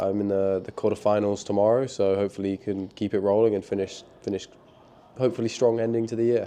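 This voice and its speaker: Speaking very fast in a London accent, a man keeps a fairly even intonation. His pitch is fairly low, and his tone is dark and mellow. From London, England. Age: 20s. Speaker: professional tennis player. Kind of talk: interview.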